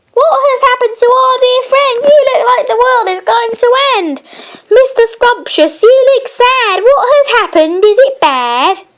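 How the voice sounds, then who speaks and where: A woman uses a put-on character voice that is squeaky and extremely high. She talks at a moderate pace with lively intonation. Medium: read story. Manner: speaks in rhyming couplets.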